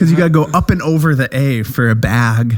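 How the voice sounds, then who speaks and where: A man with a Wisconsin accent at a moderate pace, his intonation lively. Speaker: podcast co-host. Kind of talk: casual chat.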